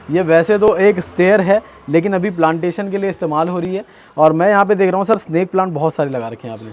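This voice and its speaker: This man has a high voice. Its pitch moves in an ordinary way. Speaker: gardening YouTuber, host. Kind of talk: casual talk to camera, garden tour.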